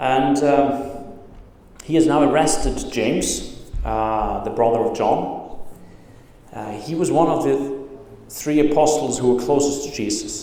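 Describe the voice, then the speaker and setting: A man with a fairly high pitch speaks at a fairly slow pace, leaving long, frequent pauses. His intonation stays fairly even amid audible room echo and noticeable background noise. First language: not English. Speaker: pastor. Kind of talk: sermon. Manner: halting, many fillers.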